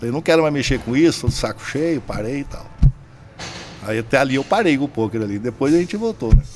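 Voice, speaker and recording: Amid noticeable background noise, a man talks fairly quickly at a fairly high pitch, with lively intonation and big swings in loudness. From Brazil, Cuiabá, Mato Grosso. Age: 60s. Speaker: poker entrepreneur. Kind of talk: casual chat.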